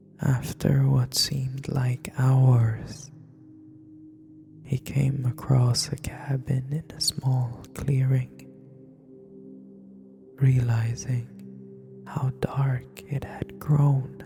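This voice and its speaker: Whispering at a very slow pace with long, frequent pauses, the voice sits over music in the background. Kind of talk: horror story narration. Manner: whispered.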